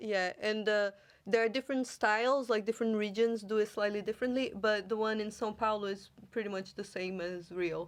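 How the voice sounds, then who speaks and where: A woman's fairly high voice in a Brazilian accent, fairly quick and fairly even in intonation, over a quiet background. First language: Portuguese. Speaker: podcast host. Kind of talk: casual chat.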